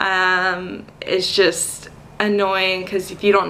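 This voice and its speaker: Noticeable background noise sits behind this recording. A woman speaks at a medium pitch with an American accent. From North Carolina, US South. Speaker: teacher. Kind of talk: casual vlog talk to camera. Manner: hesitant, many filler words.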